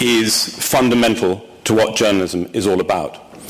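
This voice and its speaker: Spoken in an English accent at a moderate pace, the voice keeps a fairly even intonation over noticeable background noise. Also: man. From England. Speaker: newspaper executive. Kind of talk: formal speech. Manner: formal; hesitant with ums.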